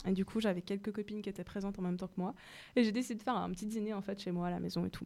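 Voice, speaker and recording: A woman, in a normal speaking voice, keeps a medium pitch and fairly even intonation. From Mauritius. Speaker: radio show host. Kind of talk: casual radio chat with prepared segment.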